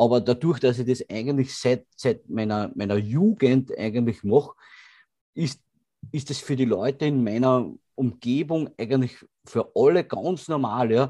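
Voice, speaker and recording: A man speaks at a fairly slow pace against a quiet background. His tone is dark and mellow. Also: medium pitch for a man, ordinary pitch variation. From Austria. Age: 30s. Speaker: bodybuilder and gym owner. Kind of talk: casual interview. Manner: halting, many repeated words.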